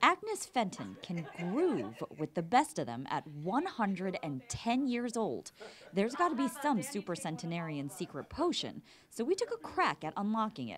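Her medium-pitched voice carries vocal fry and very wide pitch swings. The woman speaks at a moderate pace. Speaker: TV news reporter. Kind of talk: TV news report narration.

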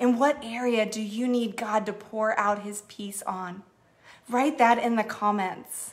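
A woman speaks at a fairly slow pace in a warm tone. Her intonation stays fairly even. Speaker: church executive minister leading online prayer. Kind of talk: fervent prayer, earnest spoken petition to God with a hushed, intimate tone. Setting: Facebook Live stream, online church gathering. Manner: warm, heartfelt, sincere, gently pleading and affectionate. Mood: earnest, prayerful. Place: home room. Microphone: phone near.

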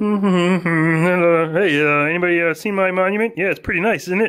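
A man does a put-on character voice at a high pitch and a moderate pace. His intonation is fairly even and his loudness very even, with light background noise. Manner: silly, proud.

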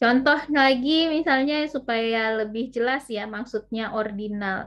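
A woman with an unremarkable speaking voice, fairly even intonation and a fairly slow pace. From West Sumatra, Indonesia. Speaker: university lecturer. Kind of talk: online lecture.

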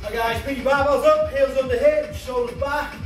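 Clear music plays in the background as the speaker talks at a moderate pace, with audible room echo. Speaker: fitness instructor. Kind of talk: workout class cueing. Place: gym.

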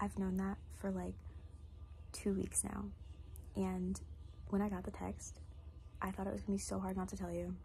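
A woman speaks at a moderate pace with long, frequent pauses. Light background noise can be heard. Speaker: college student. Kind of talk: recorded tribute message. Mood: warm, smiling, affectionate. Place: home room. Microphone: phone near.

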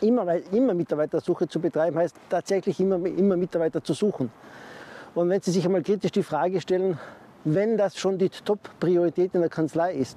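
Speaking fairly quickly at a high pitch with ordinary pitch variation, a man comes through with a dry sound and no echo. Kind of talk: advice talk to camera. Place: garden. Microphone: lapel.

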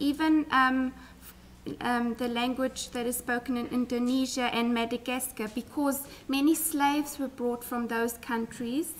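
A woman speaks fairly slowly in a high pitch, her intonation fairly even. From South Africa. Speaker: school principal, guest speaker. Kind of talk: presentation to schoolchildren with self-interpretation. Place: hall.

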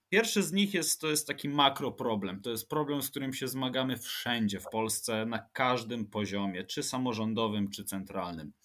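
A man with a bright, sharp tone and hardly any pauses, in a very clean recording with a silent background. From Łódź, Poland. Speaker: urban planner and transport expert. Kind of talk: interview, expert explanation.

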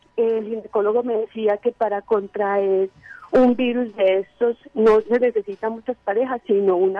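Here is a woman with an unremarkable speaking voice, fairly high in pitch, and her intonation stays fairly even. She speaks at a fairly slow pace, with a dry sound with no echo and a quiet background. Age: 30s. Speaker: caller. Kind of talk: call-in question. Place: studio.

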